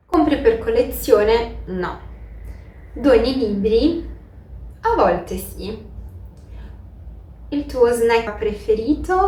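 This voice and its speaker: With audible room echo, a woman speaks at a very slow pace, leaving long, frequent pauses. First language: Portuguese (speaking Italian). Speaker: book YouTuber. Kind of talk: casual vlog Q&A.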